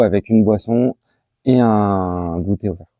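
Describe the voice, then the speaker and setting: A man speaks in a fairly low pitch with fairly even intonation. His pace is very slow. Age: 30s. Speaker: association treasurer. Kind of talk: interview. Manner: hesitant, many fillers.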